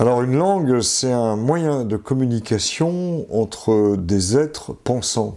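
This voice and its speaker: A man speaks in a dark, mellow tone at a very slow pace, with lively intonation and hardly any pauses. His loudness stays very even against a quiet background. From France, Vichy (Auvergne); Auvergne, France. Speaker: linguist and retired professor; retired professor. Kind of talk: interview. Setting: at home. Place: home room. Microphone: lapel.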